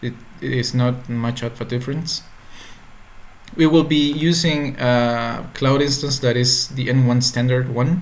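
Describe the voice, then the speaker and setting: Talking fairly slowly with a Spanish accent, a man holds a medium pitch and fairly even intonation. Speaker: tech tutorial creator. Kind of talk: tutorial. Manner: halting.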